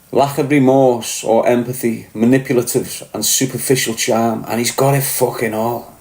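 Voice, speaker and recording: A man speaks at a medium pitch in a monotone, flat intonation. His moderate pace leaves hardly any pauses. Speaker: podcast host, former prisoner. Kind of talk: casual monologue commentary. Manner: pronounces words fully, finishes T's.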